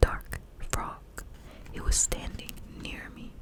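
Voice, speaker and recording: A woman whispers in a soothing tone. Noticeable background noise runs underneath. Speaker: ASMR creator. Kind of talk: bedtime story reading. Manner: whispered, soothing.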